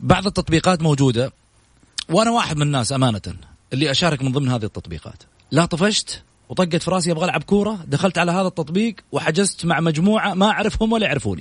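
A man's high voice at a very fast pace, animated in tone and lively in intonation. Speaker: sports radio host. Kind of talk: sports talk radio interview. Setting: radio studio, live.

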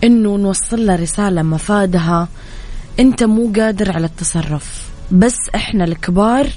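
Medium pitch from a woman, with noticeable background noise underneath. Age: 20s. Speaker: radio host. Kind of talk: morning radio show talk.

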